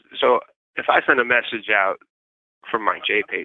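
A man with a New York accent at a moderate pace. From New York City, Manhattan. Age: 40s. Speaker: incarcerated journalist. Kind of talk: interview. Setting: phone call from prison yard. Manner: halting, many repeated words.

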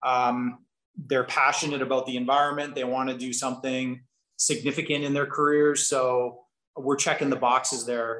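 Monotone and flat, a man speaks at a medium pitch and a moderate pace. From Kelowna, British Columbia, Canada. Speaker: business executive. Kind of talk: casual interview.

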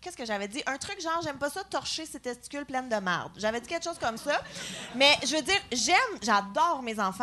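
A woman talks very fast in a raised, projected voice, high-pitched, with very wide pitch swings and big jumps in loudness. Noticeable background noise sits behind her. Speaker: comedian. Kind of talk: live podcast chat. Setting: stage with audience.

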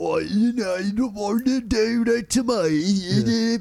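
In a put-on character voice, a man talks high-pitched and guttural at a fairly slow pace over light background noise. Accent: Cockney.

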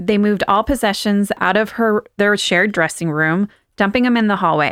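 In a very clean recording with a silent background, a woman with an unremarkable speaking voice talks at a moderate pace and medium pitch, with ordinary pitch variation and a dry, close sound with no echo. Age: 40s. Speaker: podcast host. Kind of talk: history storytelling, partly read from notes.

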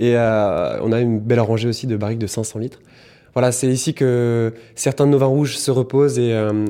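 Recorded very cleanly against a silent background, a man speaks at a medium pitch in a dark, mellow tone with fairly even intonation. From Burgundy, France. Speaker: cellar master's assistant. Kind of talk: casual interview. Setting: wine cellar. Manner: fast.

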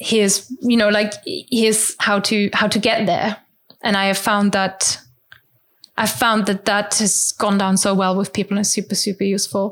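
A woman speaks in a German accent at a moderate pace. Her intonation is monotone and flat, and her loudness stays very even. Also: medium pitch for a woman. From rural Germany. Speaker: language teacher and podcaster. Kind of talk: interview.

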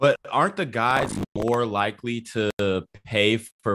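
A man talks at a very slow pace in a medium-pitched voice, recorded with a dry, close sound and no echo. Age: 20s. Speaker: real estate investor, call-in guest. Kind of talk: call-in debate. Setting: video call.

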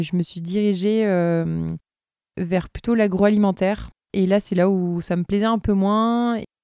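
Her dark, mellow tone and fairly even intonation carry a woman's fairly slow speech in a dry, close sound with no echo. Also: very clean recording, silent background. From southern France, Tarn near Toulouse. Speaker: knitwear designer and entrepreneur. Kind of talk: interview. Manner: halting, many repetitions and fillers.

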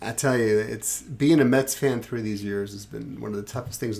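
The speech has a New York accent. It moves at a moderate pace. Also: man. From Brooklyn, New York City. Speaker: podcast co-host. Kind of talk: casual chat.

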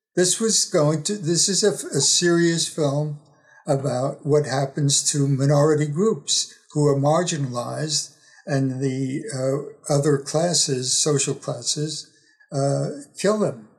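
With music playing in the background, a man speaks at a very slow pace in a fairly high pitch, keeping ordinary pitch variation and very even loudness. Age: 80s. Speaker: professor and author. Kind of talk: interview. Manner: halting.

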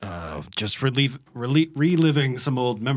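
This is plain reading aloud, and the pitch varies in an ordinary way.

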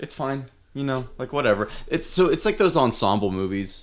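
The recording is very clean, with a silent background. Speech moves at a fairly quick pace with very wide pitch swings. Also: man. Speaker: podcast host. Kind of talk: casual banter. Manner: joking, irreverent.

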